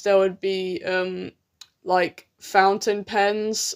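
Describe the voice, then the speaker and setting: Here a woman speaks at a medium pitch with a British accent. The recording is very clean, with a silent background. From UK. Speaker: artist live-streamer. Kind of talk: live stream chat while drawing. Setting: live stream. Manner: halting.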